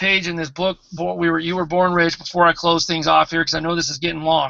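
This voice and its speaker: A man with a high-pitched voice speaks at a fairly quick pace. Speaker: network marketing team leader. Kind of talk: motivational talk. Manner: animated.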